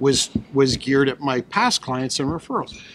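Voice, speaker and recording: There is light background noise as a man speaks. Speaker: guest. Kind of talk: interview answer. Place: hall. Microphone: studio mic.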